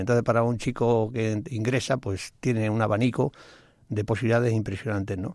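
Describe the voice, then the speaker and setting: A man with a normal speaking voice talks at a fairly quick pace with fairly even intonation on a very clean recording with a silent background. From Spain (Badajoz and Toledo provinces). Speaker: retired Civil Guard officer. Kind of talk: radio interview. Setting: radio studio.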